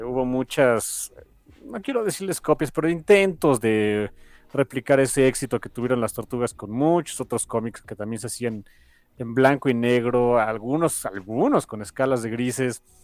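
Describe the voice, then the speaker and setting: In a very clean recording with a silent background, a man with a Mexican accent talks at a moderate pace in a medium pitch, with ordinary pitch variation and big swings in loudness. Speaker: podcast co-host. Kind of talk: casual chat.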